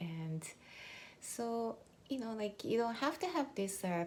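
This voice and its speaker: Speaking at a fairly slow pace, a woman with a Japanese accent sounds somewhat breathy. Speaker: mindset coach. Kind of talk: motivational talk. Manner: conversational, many fillers.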